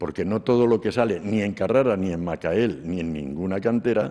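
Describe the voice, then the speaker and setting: A man's very deep, low voice, dark and mellow in tone, with lively intonation at a fairly slow pace on a very clean recording with a silent background. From Spain, Cuenca province. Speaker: sculptor. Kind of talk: interview during museum tour. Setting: museum.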